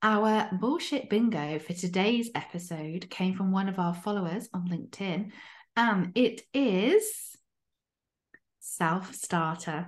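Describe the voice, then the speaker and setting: This woman's voice sits at a medium pitch, somewhat breathy, with ordinary pitch variation. She talks at a very slow pace against a quiet background. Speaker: podcast co-host and coach. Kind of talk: casual chat podcast discussion.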